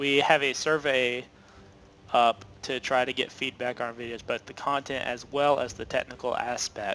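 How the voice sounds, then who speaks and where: A man speaks at a medium pitch and a moderate pace. His intonation is monotone and flat. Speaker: video game tutorial creator. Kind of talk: gameplay tutorial commentary. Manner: halting, many filler uhs.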